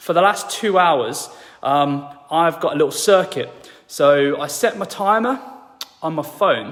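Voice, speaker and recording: With noticeable background noise, a man with a high voice and lively intonation speaks at a fairly slow pace, leaving long, frequent pauses. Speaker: fitness and lifestyle coach. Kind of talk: tutorial. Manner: casual, conversational with fillers.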